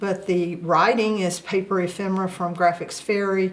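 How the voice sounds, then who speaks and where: A woman with a Southern US accent talks at a moderate pace with a fairly low pitch. Her intonation is monotone and flat, with noticeable background noise. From US South. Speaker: crafter, journal maker. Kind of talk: show-and-tell tutorial. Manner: hesitant, many filler uhs.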